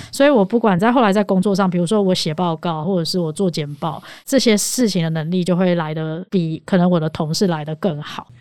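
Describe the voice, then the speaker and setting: A woman with a plain, everyday voice, fairly low in pitch, at a fairly quick pace with hardly any pauses and ordinary pitch variation. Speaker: podcast co-host, debater. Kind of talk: casual chat.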